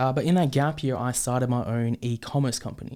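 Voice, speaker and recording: A man with an Australian accent speaks at a medium pitch with fairly even intonation. The recording is very clean, with a silent background. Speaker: podcast host. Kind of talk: podcast monologue. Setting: studio with microphone and camera. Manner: halting, many fillers.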